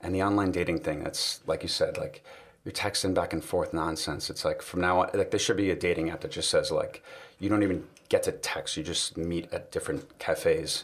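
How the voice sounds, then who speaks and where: Here a man speaks at a fairly quick pace. He has a slight New York accent. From New York City. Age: 30s. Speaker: guest. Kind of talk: casual chat.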